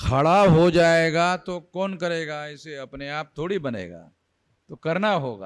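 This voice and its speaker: This is a normal speaking voice with ordinary pitch variation. Its loudness swings widely. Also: man, fairly high pitch for a man. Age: 60s. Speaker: activist leader. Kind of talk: speech to rally.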